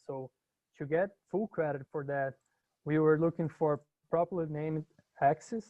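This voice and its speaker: The man speaks at a fairly slow pace with fairly even intonation. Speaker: university instructor. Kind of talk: lecture. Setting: video call. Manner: halting.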